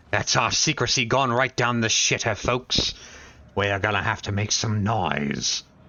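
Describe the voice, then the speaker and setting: A man puts on a raspy character voice at a medium pitch, talking at a moderate pace with ordinary pitch variation. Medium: game stream. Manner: menacing.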